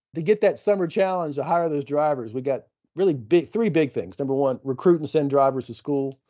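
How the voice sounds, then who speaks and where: This man has a normal speaking voice, pitched fairly high, with ordinary pitch variation and a moderate tempo. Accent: American. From East Texas. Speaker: company executive and podcast host. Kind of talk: casual business update chat.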